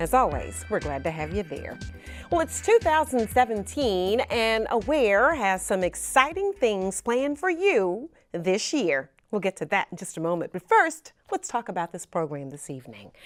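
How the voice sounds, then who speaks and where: Her loudness swings widely. The woman keeps a moderate pace. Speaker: TV talk show host. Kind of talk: TV show introduction. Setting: studio.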